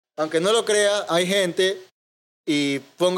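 In a coastal Ecuadorian accent, a man talks at a high pitch. His pitch varies in an ordinary way. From Ecuador, Manta (coastal Manabí). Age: 20s. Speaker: IT student and media producer. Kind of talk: casual chat.

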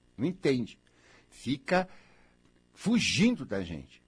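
A man talks in an animated tone with very wide pitch swings. His voice carries vocal fry. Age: 60s. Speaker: radio host. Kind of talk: radio monologue. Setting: radio studio.

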